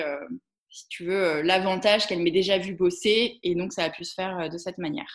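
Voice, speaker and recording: A woman with a plain, everyday voice, a medium pitch, ordinary pitch variation and a fairly quick pace. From Alsace, Strasbourg. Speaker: entrepreneur. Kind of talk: interview.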